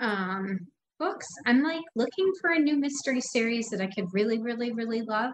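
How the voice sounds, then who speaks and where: A woman with an American accent and a fairly high pitch, a normal speaking voice with lively intonation at a moderate pace. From US Midwest, Chicago suburbs. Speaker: nonprofit worker and writer. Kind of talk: casual interview chat.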